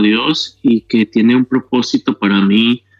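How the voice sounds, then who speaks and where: A man speaks at a fairly slow pace in a medium pitch. He has a plain, everyday voice. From Mexico. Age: 40s. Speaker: kidney patient sharing his story. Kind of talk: testimony.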